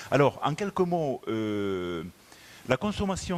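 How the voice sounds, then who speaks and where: A man with a southwestern French accent, medium pitch and very wide pitch swings at a fairly slow pace. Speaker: motorway company executive. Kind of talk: conference presentation. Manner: hesitant, many fillers.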